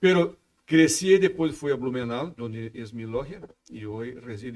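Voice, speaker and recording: Here a man speaks with a Brazilian accent and a fairly high pitch. He goes at a fairly slow pace with lively intonation. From southern Brazil, Santa Catarina. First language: Portuguese (speaking Spanish). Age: 60s. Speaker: freemasonry official. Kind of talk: podcast interview. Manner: halting, with repetitions.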